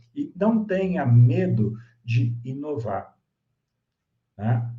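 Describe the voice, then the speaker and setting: Very slow and somewhat breathy, a man speaks at a medium pitch in a dark, mellow tone with lively intonation and audible room echo. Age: 60s. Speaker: swim school executive. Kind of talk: lecture.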